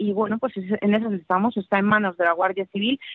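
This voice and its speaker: A woman's medium-pitched voice with a Russian accent and ordinary pitch variation. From Siberia, Russia. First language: Russian (speaking Spanish). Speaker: political scientist. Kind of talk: interview.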